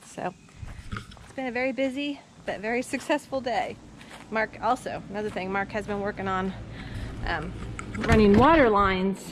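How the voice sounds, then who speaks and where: A woman talks at a moderate pace with ordinary pitch variation, big swings in loudness, long, frequent pauses and noticeable background noise. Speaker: homeowner vlogger. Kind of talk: casual vlog chat. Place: garden. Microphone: phone near.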